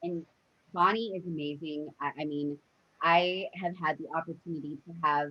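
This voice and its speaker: A woman speaks at a moderate pace in a normal speaking voice, fairly low in pitch with fairly even intonation and big swings in loudness. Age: 30s. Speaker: podcast host. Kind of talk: interview.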